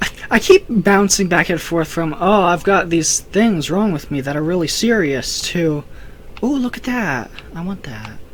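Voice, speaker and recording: The man's voice sits high in pitch and moves with lively intonation, while noticeable background noise carries on behind him. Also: moderate pace. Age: 18. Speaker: gaming youtuber. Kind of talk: casual commentary. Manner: halting.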